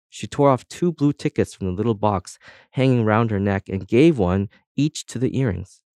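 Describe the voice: Here is plain reading aloud. Behind it, the background stays quiet.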